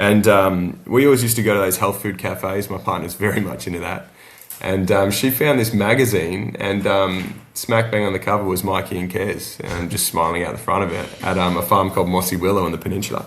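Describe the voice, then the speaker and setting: Over noticeable background noise, a man with an Australian accent and fairly low pitch talks at a fairly quick pace with fairly even intonation and hardly any pauses. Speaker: small-scale no-till farmer, interview guest. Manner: casual, relaxed, frequent fillers.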